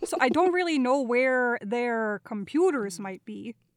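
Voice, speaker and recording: A woman with a high pitch speaks at a fairly slow pace in a Minnesotan accent. Her pitch swings very widely, and the sound is dry and close with no echo. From Minnesota, US Midwest. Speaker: voiceover artist and guest player. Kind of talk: casual tabletop roleplaying game session. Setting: video call.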